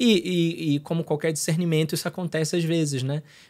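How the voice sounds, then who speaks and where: The recording is very clean, with a silent background. A man speaks at a fairly high pitch with fairly even intonation. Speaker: consecrated lay missionary, record label head. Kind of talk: casual podcast interview. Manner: halting, with many fillers and repetitions.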